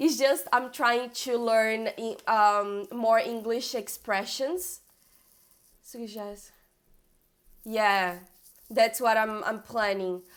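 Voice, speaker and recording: A woman with a Brazilian Portuguese accent speaks at a very slow pace with a fairly high pitch. Her loudness swings widely, and she leaves long, frequent pauses. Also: ordinary pitch variation. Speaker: coding bootcamp student and streamer. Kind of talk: live stream tutorial. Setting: live stream with screen share. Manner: halting, with fillers and repeats.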